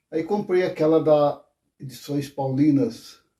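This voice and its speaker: At a fairly slow pace, a man speaks in a fairly high pitch with a dark, mellow tone, somewhat breathy and with ordinary pitch variation. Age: 70s. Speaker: former Jehovah's Witness. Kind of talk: testimony. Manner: hesitant, with fillers.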